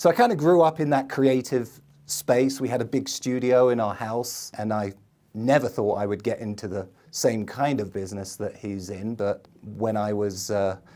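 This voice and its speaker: A man with an English accent speaks at a medium pitch in a dark, mellow tone. The recording is very clean, with a silent background. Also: ordinary pitch variation, moderate pace. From England, London. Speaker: marketing video producer, entrepreneur. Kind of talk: podcast interview.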